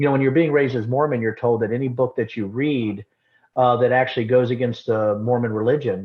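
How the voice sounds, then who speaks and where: This man has an ordinary speaking voice, medium in pitch and fairly level in intonation, and talks at a fairly brisk clip. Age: 50s. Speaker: former congressman and distillery owner. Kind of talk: casual interview conversation.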